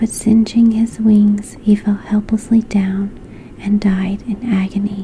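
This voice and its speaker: Someone whispers softly at a fairly slow pace, with noticeable background noise behind. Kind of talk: bedtime fairy tale reading. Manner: whispered, soft-spoken.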